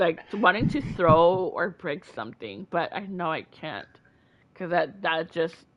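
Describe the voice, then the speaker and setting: The speaker moves at a fairly slow pace with vocal fry, lively intonation and big swings in loudness. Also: woman, fairly low pitch for a woman. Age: 30s. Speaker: streamer and mental health talk host. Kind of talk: casual chat. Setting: live stream.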